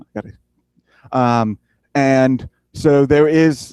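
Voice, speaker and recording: A man with ordinary pitch variation, recorded in a dry, close sound with no echo against a quiet background. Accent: Southern US. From US South, South Carolina. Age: 20s. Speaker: ISP technician and tower climber. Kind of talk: conference talk. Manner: halting, many fillers.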